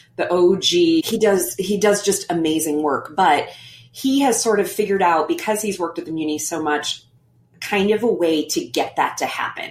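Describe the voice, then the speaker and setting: A woman speaks in an American accent with ordinary pitch variation. Music plays in the background. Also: medium pitch for a woman, moderate pace. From Missouri, St. Louis. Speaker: stage actress. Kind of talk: casual interview chat.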